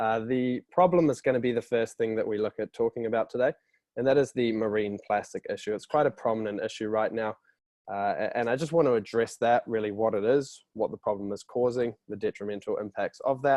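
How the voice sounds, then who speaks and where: A man at a medium pitch, fairly quick pace, with ordinary pitch variation. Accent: New Zealand. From New Zealand. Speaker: company representative presenting a product. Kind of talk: webinar presentation. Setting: online webinar. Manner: casual, with frequent fillers.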